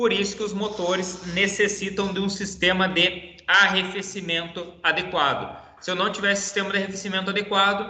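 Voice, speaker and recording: A man speaks at a moderate pace in a raised, projected voice pitched high for a man. The room echoes audibly, and background noise is noticeable. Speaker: teacher. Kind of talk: online lecture.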